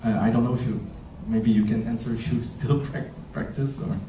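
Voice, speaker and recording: A man with a Quebec accent, medium pitch and ordinary pitch variation, amid audible room echo and noticeable background noise. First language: French. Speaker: film director. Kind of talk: festival Q&A. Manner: halting.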